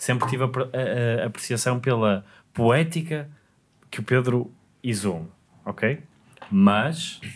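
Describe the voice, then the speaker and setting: A man's medium-pitched voice at a very slow pace, with ordinary pitch variation, long and frequent pauses, and light background noise. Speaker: podcast host. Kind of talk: casual podcast conversation. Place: studio. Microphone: studio mic.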